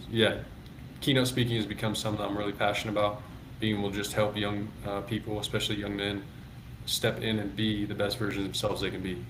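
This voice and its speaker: A man mumbles at a very fast pace with an American accent, his fairly low voice keeping a fairly even intonation amid audible room echo. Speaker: former minor league baseball player and public speaker. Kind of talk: interview conversation. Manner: pitch varies, goes up and down a lot; occasionally mumbles.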